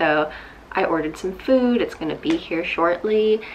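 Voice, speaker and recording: A woman talks at a fairly slow pace with ordinary pitch variation over light background noise. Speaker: vlogger. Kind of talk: casual vlog chat. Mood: relaxed, reflective. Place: home room. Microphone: phone near.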